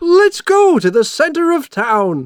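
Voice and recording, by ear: In a put-on character voice with big pitch swings, the speaker moves at a slow pace, recorded with a dry, close sound with no echo and a very clean, silent background.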